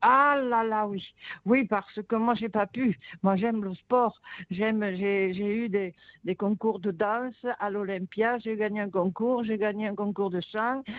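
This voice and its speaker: Speaking at a very slow pace, a woman uses a fairly high pitch. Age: 80s+. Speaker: caller. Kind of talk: testimony. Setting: phone call. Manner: animated.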